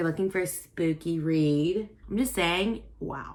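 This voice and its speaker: With an American accent, a woman speaks in an animated tone at a medium pitch and moderate pace on a very clean recording with a silent background. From US South. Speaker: booktuber. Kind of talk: casual vlog talk.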